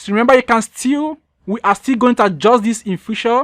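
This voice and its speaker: A woman with an unremarkable speaking voice talks at a moderate pace, her pitch fairly high with ordinary variation. The sound is dry and close, with no echo. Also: very clean recording, silent background. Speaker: programming instructor. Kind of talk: tutorial.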